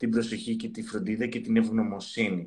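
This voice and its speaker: A man's normal speaking voice comes at a medium pitch and moderate pace, with a fairly even intonation, as he talks. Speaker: psychotherapist. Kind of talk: casual chat.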